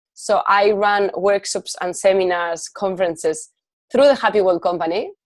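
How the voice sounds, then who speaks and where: Fairly even intonation and a moderate pace mark this speaker, who talks with a Spanish accent. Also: woman, medium pitch for a woman. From Spain. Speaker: life coach and entrepreneur. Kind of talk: podcast interview.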